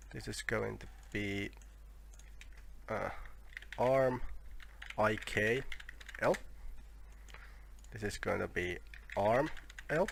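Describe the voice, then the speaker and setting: The speaker, with a non-native accent, goes at a very slow pace. Long, frequent pauses break up the speech. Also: man. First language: not English. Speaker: 3D software tutorial maker. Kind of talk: tutorial. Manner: halting, with fillers and self-corrections.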